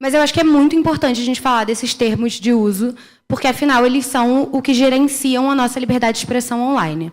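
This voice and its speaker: A woman talks at a very fast pace with a high pitch, ordinary pitch variation, and very even loudness. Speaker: internet policy researcher. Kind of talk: conference panel talk. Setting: conference stage with audience.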